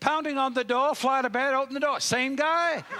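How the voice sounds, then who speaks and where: A man speaks at an extremely high pitch in a raised, projected voice. His tone is bright, sharp and animated. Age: 60s. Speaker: motivational speaker. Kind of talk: keynote speech; humorous anecdote.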